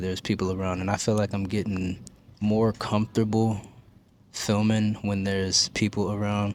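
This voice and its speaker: A quiet man talks at a fairly quick pace with a fairly low pitch and a monotone, flat intonation. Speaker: lifestyle vlogger. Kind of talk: casual vlog talk to camera. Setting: public library.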